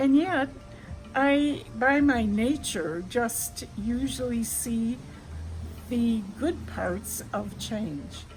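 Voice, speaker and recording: With music in the background, a woman speaks very slowly at a fairly high pitch, her intonation lively. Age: 90s. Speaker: elderly woman, mother and grandmother, co-founder of a breastfeeding support organization. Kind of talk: casual talk to camera, reflective personal monologue.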